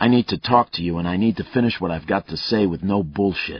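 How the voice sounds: The pitch varies in an ordinary way. It comes in a natural reading voice.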